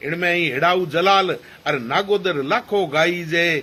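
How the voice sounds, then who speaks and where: With a Rajasthani accent, a man speaks at a high pitch in a bright, sharp tone with ordinary pitch variation. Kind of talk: poetry reading.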